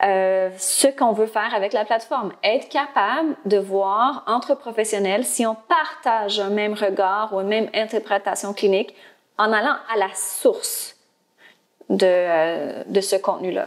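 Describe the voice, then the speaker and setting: A woman speaks at a fairly high pitch with ordinary pitch variation. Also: fairly slow pace. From Ontario, Canada (Franco-Ontarian). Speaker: speech-language pathologist and platform founder. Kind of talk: interview. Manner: hesitant, many filler words.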